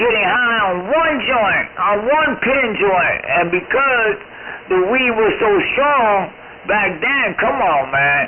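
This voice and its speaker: A man with a high pitch and lively intonation speaks over noticeable background noise. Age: 60s. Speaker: CB radio operator. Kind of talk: casual chat.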